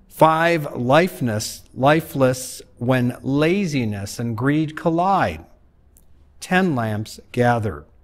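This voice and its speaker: The pace is very slow. It's a man talking. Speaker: pastor leading worship. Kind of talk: liturgical reading. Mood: solemn, measured. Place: church.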